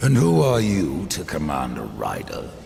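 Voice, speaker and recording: A man puts on a character voice, pitched very deep and low, swinging very widely in pitch at a moderate pace over clear background noise. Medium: machinima. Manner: terse, cold.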